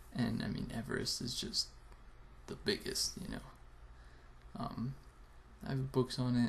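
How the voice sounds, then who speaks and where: A man speaks quietly at a moderate pace. Noticeable background noise runs underneath. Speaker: video blogger. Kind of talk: casual vlog. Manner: quiet, keeping voice down.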